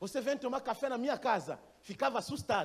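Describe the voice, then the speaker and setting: A man's extremely high-pitched voice at a moderate pace, with ordinary pitch variation. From Gabon. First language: not Portuguese (speaking Portuguese). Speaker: missionary pastor. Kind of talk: sermon. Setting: church. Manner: halting.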